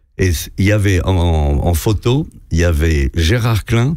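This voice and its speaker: The speech has lively intonation, with noticeable background noise in the recording. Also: man. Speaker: veteran radio host. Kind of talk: anecdotal storytelling in a radio interview. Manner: animated.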